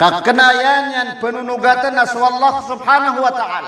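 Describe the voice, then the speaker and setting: Raised, projected voice of a man at an extremely high pitch, moderate pace, with audible room echo and noticeable background noise. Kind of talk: sermon.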